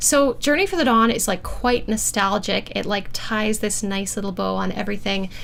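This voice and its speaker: A woman's normal speaking voice, fairly high in pitch with ordinary pitch variation, at a moderate pace. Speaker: harpist and composer hosting a livestream. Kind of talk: livestream album listening party chat. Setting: livestream. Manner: casual with many fillers.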